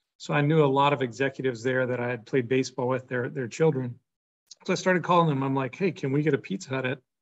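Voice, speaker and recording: A man speaks very rapidly, his pitch varying in an ordinary way. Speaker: guest. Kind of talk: interview answer. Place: office. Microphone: video call.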